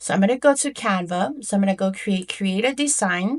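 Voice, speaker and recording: A woman with a non-native accent speaks at a medium pitch over a quiet background. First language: not English. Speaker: online business coach. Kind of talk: tutorial; sales pitch. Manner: casual, with fillers.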